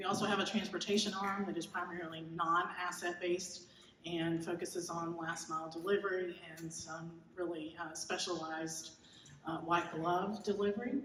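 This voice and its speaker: A woman with an American accent and a fairly low pitch, with audible room echo. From Georgia, US South. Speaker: keynote speaker, logistics innovation executive. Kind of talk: keynote presentation. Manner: fast; animated.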